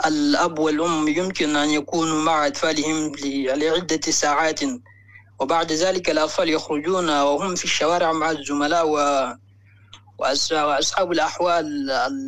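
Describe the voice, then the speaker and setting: With monotone, flat intonation and very even loudness, a man speaks fairly slowly at a fairly high pitch. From Mali. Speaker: caller. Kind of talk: phone-in call.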